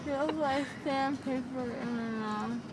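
A woman at a very slow pace, ordinary pitch variation, loud background noise throughout. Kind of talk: casual remark. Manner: sleepy, slurred numb-mouthed speech. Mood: dazed, complaining of dry mouth. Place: car. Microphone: phone near.

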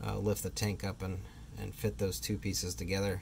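Somewhat breathy male voice with light background noise. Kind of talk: tutorial. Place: street. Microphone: phone near.

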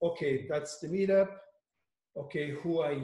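A man with a dark, mellow, somewhat breathy tone speaks at a moderate pace with ordinary pitch variation. Room echo is audible against a quiet background. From France. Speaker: agile coach. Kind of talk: workshop facilitation. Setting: video call. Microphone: video call.

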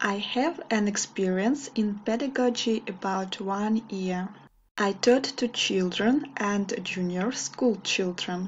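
Very slow, somewhat breathy speech with a Russian accent, ordinary pitch variation and light background noise. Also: woman. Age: 20s. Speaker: English teacher. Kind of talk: video monologue. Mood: warm, smiling. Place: home room. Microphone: webcam.

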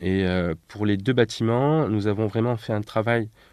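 Over a quiet background, a man with a fairly low pitch talks at a moderate pace with ordinary pitch variation, the sound dry and close with no echo. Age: 30s. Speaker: architect. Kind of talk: interview. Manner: hesitant, frequent fillers.

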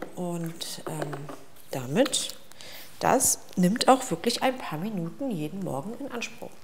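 A woman whispering at a very slow pace. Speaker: vlogger. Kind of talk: casual routine vlog chat. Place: bathroom.

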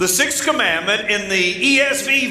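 At a very slow pace, a man speaks in a raised, projected voice with lively intonation, amid audible room echo and light background noise. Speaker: pastor. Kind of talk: sermon. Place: church.

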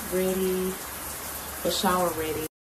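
A woman talks at a moderate speed while loud background noise fills the recording. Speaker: new mother vlogger. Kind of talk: casual vlog chat. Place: bathroom. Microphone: phone near.

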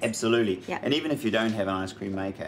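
With light background noise behind him, a man uses a plain, everyday voice, fairly low in pitch, with ordinary pitch variation. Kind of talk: tutorial. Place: kitchen.

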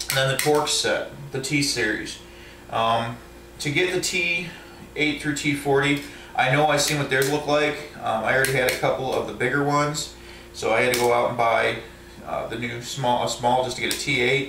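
A man keeps his intonation fairly even and his pace moderate while noticeable noise runs in the background. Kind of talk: casual show-and-tell tutorial. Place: home room. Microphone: phone near.

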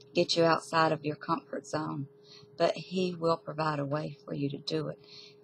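Somewhat breathy and very deep in pitch, a woman's voice sounds dry with no echo over light background noise. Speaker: bible study teacher. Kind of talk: bible study talk. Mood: earnest, teaching. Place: home room. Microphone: webcam.

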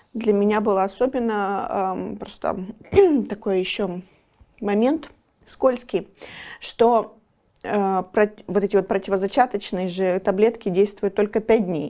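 A woman's medium-pitched voice, dark and mellow in tone, with ordinary pitch variation, a fairly slow pace, and long, frequent pauses. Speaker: volunteer and business owner. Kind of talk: interview. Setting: studio.

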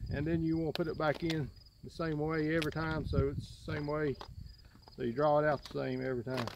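Speech comes at a very fast pace in a monotone, flat intonation. The sound is dry with no echo, over noticeable background noise. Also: man. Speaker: outdoor gear demonstrator. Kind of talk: tutorial. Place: garden. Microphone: phone near.

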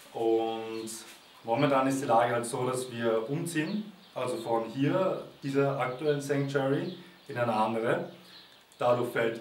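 Audible room echo and light background noise around a man talking at a moderate pace, with ordinary pitch variation. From Austria, Vienna. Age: 20s. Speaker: volunteer at animal sanctuary. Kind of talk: testimonial appeal to camera. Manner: halting, with fillers and repetitions. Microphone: camera far.

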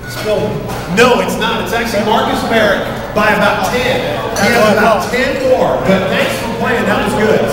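Loud background noise and audible room echo fill the recording. Through it, a man speaks at a moderate pace. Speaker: quiz host. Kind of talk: game show hosting. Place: bar.

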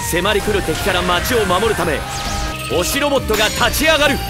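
Loud music plays in the background as a man talks at a moderate pace, the sound dry with no echo. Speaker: voice actor. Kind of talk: TV commercial read. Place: booth.

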